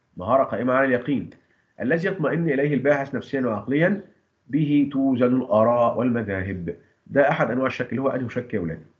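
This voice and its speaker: There is audible room echo as a man of medium pitch speaks at a fairly quick pace with lively intonation. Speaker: teacher. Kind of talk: lecture.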